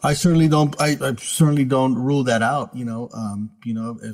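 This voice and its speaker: A man uses a normal speaking voice, talking fairly quickly with ordinary pitch variation. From US West Coast, San Francisco Bay Area. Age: 60s. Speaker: author. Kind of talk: interview.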